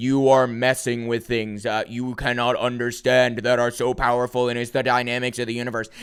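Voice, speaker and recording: A man booms in a put-on character voice at a fairly quick pace, with hardly any pauses and a medium pitch. His intonation is monotone and flat, with light background noise behind him. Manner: commanding, imposing.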